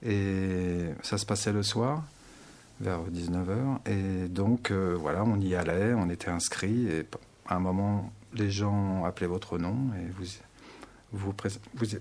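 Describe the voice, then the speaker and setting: Speaking very slowly, a man uses a very deep, low pitch. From Paris region, France. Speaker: meditation teacher. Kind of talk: radio interview.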